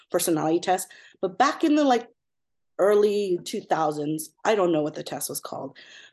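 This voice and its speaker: A plain, everyday voice speaks with an American accent at a moderate pace and with lively intonation. The background is quiet. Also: woman. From Southern California. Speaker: pediatric ECMO nurse. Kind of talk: casual interview.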